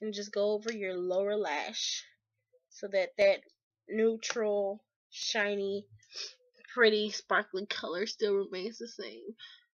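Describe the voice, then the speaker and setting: The speech comes very slowly, broken by long, frequent pauses. The intonation stays monotone and flat. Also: woman, medium pitch for a woman, big swings in loudness. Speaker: beauty vlogger. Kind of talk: tutorial. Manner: casual, hesitant with fillers.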